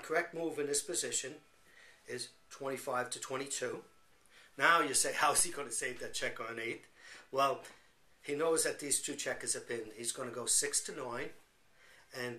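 A man speaks at a moderate pace, with long, frequent pauses. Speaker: checkers teacher. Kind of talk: tutorial.

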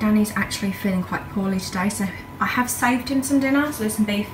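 Ordinary pitch variation in a woman's voice, set against noticeable background noise. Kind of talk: casual vlog chat. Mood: relaxed, chatty. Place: kitchen. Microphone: phone near.

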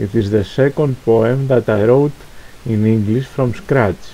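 A man speaks fairly slowly in a Greek accent, at medium pitch with ordinary pitch variation. Background noise is noticeable. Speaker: poet. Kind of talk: spoken introduction.

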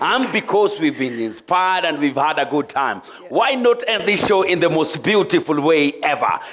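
Speaking at a moderate pace over light background noise, a man uses a high pitch with very wide swings up and down. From Kenya. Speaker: TV game show host. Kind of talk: live game show hosting. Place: stage.

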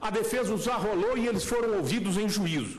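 A man's high-pitched voice. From Brazil, Minas Gerais. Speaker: defense lawyer. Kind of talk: courtroom oral argument. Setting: supreme court plenary, speaking from the rostrum. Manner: formal. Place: hall. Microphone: podium.

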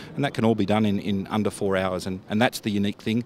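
Over light background noise, a man with an Australian accent speaks at a very fast pace and a fairly low pitch, the sound dry with no echo. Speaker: defence industry executive. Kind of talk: trade show interview. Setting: exhibition stand at trade show. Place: street. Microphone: handheld.

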